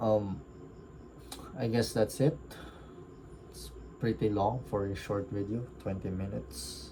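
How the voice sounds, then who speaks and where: Somewhat breathy, dark and mellow, a man's fairly low voice at a fairly slow pace with ordinary pitch variation. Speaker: book reviewer. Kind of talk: casual reflective monologue. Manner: halting, stuttering.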